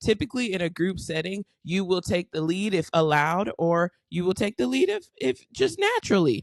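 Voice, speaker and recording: With lively intonation and a fairly low pitch, a woman speaks at a moderate pace in a dry, close sound with no echo. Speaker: podcast co-host. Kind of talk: casual chat. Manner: loud, boisterous.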